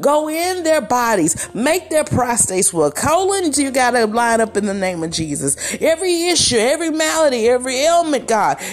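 Over noticeable background noise, a woman with a high pitch and a warm tone speaks at a moderate pace with very wide pitch swings and hardly any pauses. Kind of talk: fervent prayer, spoken aloud as a heartfelt petition to God. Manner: earnest, preacherly cadence, warm and declarative.

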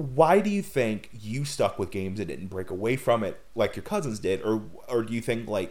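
This is an unremarkable speaking voice at a moderate pace, with hardly any pauses. The intonation is lively. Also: man, medium pitch for a man. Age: 20s. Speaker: podcast host. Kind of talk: casual chat.

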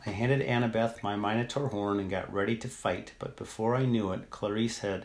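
Fairly even intonation runs through this reading aloud in a natural voice.

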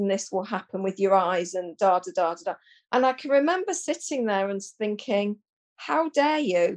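A woman's unremarkable speaking voice, fairly high-pitched, with lively intonation at a moderate pace. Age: 50s. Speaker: menopause educator and therapist. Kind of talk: casual chat.

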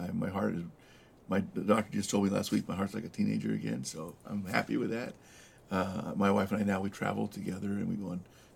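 A man with a Southern California accent at a fairly quick pace. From US West, Los Angeles area (El Monte). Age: 60s. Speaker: former mayor and business owner. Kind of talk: interview conversation.

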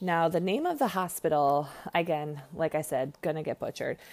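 Here is a woman with a plain, everyday voice and a fairly low pitch. She talks at a moderate pace with ordinary pitch variation, on a very clean recording with a silent background. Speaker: ER nurse and podcaster. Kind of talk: casual solo podcast monologue. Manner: casual, chatty, profane.

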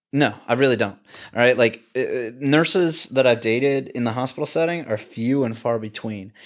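Over a quiet background, a man with an American accent speaks in an ordinary speaking voice at medium pitch and a moderate pace, with ordinary pitch variation. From Texas, Houston. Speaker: travel ICU nurse. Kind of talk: casual chat.

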